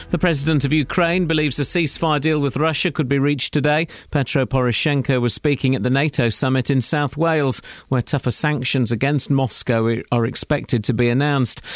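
Recorded very cleanly against a silent background, a plain, everyday voice moves at a fairly quick pace with very even loudness and fairly even intonation. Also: man, fairly high pitch for a man. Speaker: newsreader. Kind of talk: news reading. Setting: studio.

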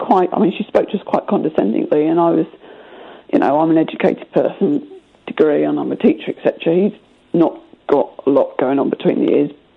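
A woman's fairly quick speech comes through over noticeable background noise. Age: 30s. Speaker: caller. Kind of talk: phone-in conversation.

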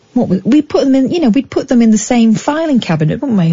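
Very wide pitch swings at a very fast pace, over noticeable background noise. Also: woman. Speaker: late night radio host. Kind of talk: late night phone-in radio. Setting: radio studio. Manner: animated.

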